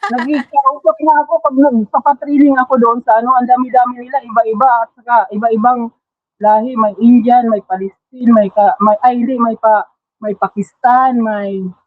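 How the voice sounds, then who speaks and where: Her voice sits high for a woman, and the woman's pitch varies in an ordinary way. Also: moderate pace. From Philippines, Davao region (Mindanao). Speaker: masterclass participant, trainer. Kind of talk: testimony sharing on livestream. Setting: online livestream. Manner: halting, many fillers.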